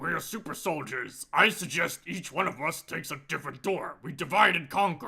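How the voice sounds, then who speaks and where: A man's high, put-on character voice at a moderate pace with hardly any pauses. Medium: actual play. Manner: commanding, self-assured.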